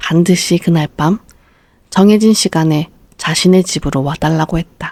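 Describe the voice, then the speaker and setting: A woman in a dark, mellow tone speaks at a fairly slow pace and a fairly low pitch, with fairly even intonation and a dry, close sound with no echo. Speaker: audiobook narrator. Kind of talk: bedtime story reading.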